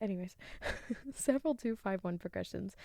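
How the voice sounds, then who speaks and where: A soft-spoken woman talks at a fairly quick pace. Her pitch varies in an ordinary way. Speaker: podcast host; music graduate. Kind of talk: soft-spoken thesis reading.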